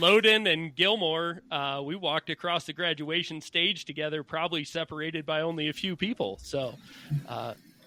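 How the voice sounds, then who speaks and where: A man with an unremarkable speaking voice talks at a fairly high pitch. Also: ordinary pitch variation, moderate pace. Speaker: podcast host. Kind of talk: interview.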